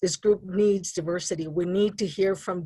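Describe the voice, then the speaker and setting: On a very clean recording with a silent background, a woman with a slight New Mexico accent talks at a moderate pace, her medium pitch showing ordinary pitch variation. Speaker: advisory council member. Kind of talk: public meeting discussion. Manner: halting.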